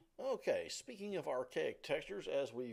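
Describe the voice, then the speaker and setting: A man speaks in a Southern US accent at a moderate pace. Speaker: college instructor. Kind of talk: lecture. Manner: halting, many fillers.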